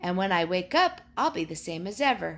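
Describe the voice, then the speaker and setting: Using a put-on character voice, the speaker keeps a moderate pace. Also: woman. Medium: read story.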